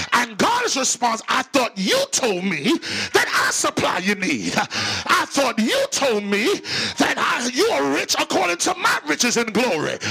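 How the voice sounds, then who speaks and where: Music plays behind a man who speaks in an animated tone at a fairly slow pace with very even loudness. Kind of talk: sermon, preacher in full flow. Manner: animated, forceful, rhetorical; call-and-response, impassioned pulpit delivery.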